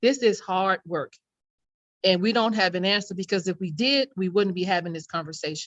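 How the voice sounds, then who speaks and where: A woman with a plain, everyday voice, ordinary pitch variation and a fairly quick pace. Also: medium pitch for a woman. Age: 60s. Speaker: youth program leader. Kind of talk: panel discussion. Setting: community talk event, live stream.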